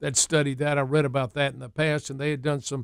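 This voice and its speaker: With a fairly quick delivery, a man speaks in a fairly high voice. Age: 60s. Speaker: physician and radio health show host. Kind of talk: interview. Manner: extemporaneous, animated.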